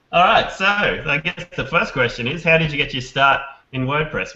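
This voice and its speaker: A man's fairly high voice with an Australian accent. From Australia, Brisbane. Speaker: podcast host, WordPress developer. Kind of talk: casual interview chat.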